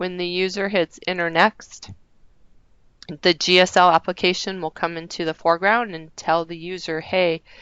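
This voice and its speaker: Her loudness swings widely while this woman, fairly low in pitch, talks at a moderate pace in a monotone, flat way. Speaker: software trainer presenting a system review. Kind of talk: work meeting walkthrough. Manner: hesitant, many fillers.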